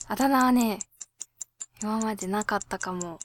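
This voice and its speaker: A woman talks at a moderate pace in a relaxed tone, with a fairly high pitch and ordinary pitch variation. The sound is dry and close with no echo. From Japan, Hokkaido (Abashiri). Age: 20s. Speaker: singer and podcast host. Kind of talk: casual solo radio talk. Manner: relaxed, laid-back.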